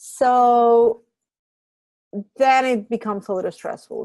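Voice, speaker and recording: Against a quiet background, a woman with a Spanish accent speaks at a moderate pace in a fairly high voice. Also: dry, close sound with no echo. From Puerto Rico. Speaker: graduate program director. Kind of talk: information session Q&A.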